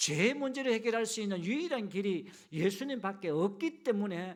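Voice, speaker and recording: With a Gyeongsang accent, a man speaks at a moderate pace and a high pitch, his voice making very wide pitch swings. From Gyeongju, Gyeongsang region, South Korea. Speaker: pastor. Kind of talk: sermon. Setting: church service with congregation.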